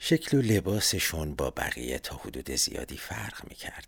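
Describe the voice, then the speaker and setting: A man's voice with vocal fry and very wide pitch swings, at a moderate pace, on a very clean recording with a silent background. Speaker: podcaster. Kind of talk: scripted narration.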